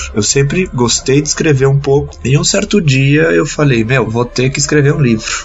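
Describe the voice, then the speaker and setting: A man with a fairly high pitch and lively intonation, at a moderate pace with hardly any pauses, against noticeable background noise. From Brazil, São Paulo state (Santos / São Paulo). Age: 20s. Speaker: author and civil engineer. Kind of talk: interview.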